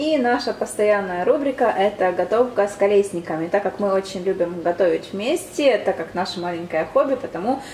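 A woman's medium-pitched voice with lively intonation, over noticeable background noise. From Ukraine. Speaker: vlogger. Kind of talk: casual vlog. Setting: outdoors, shopping and beach.

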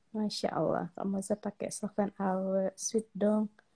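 Against a quiet background, a woman with a dark, mellow tone speaks at a fairly slow pace. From Aceh, Indonesia. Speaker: social media celebrity; livestream host. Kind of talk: casual livestream chat with viewers. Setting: live video stream from home. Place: home room. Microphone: phone near.

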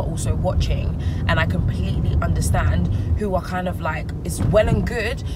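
A woman in a dry sound with no echo, over loud background noise. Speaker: vlogger. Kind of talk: casual vlog chat. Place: car. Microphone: phone near.

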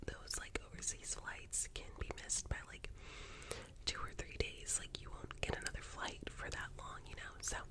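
A woman at a moderate pace amid loud background noise. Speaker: travel agent roleplay host. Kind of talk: soft roleplay chat to camera. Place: home room. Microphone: earbuds.

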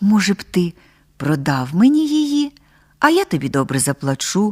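A woman's put-on character voice at medium pitch, moderate pace, very wide pitch swings, dry and close with no echo. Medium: read story. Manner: imperious.

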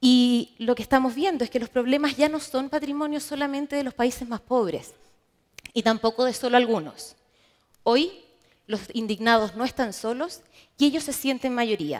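The intonation is lively and the pace is moderate. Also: woman, high pitch for a woman. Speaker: market research manager. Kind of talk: conference presentation.

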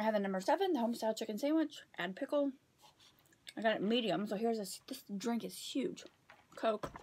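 The pace runs fairly quick. Intonation rises and falls in a lively way. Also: woman. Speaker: vlogger. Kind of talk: casual mukbang vlog chat. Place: home room. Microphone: phone near.

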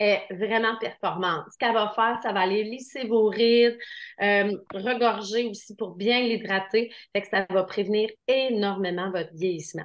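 Fairly slow, fairly even speech from a woman with a Quebec accent and a fairly high pitch, over a quiet background. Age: 50s. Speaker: skincare seller. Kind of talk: sales pitch. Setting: video call. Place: shop. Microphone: webcam.

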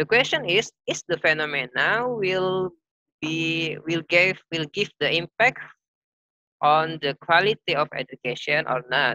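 A man with a fairly high pitch speaks at a fairly slow pace in a bright, sharp tone, his intonation lively and the sound dry and close with no echo.

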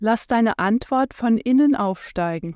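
A soothing, calm tone at a very slow pace, heard in a dry, close sound with no echo in a very clean recording with a silent background. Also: woman. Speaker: meditation guide and osteopath. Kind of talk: guided meditation (Yoga Nidra). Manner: slow, soothing, calm, gentle; unhurried, with long pauses.

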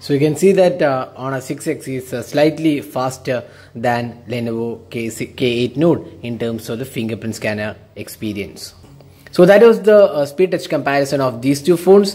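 There are big swings in loudness as a man speaks over faint music in the background. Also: moderate pace. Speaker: tech reviewer. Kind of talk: tutorial. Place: home room.

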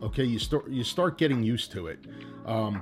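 Over faint music in the background, the speech runs at a very fast pace with ordinary pitch variation. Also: man. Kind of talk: tutorial. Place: home room.

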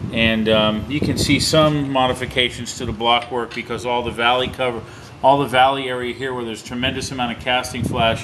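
A man talks at a fairly quick pace in a monotone, flat intonation. Noticeable background noise is present. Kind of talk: explanatory shop talk. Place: workshop. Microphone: phone near.

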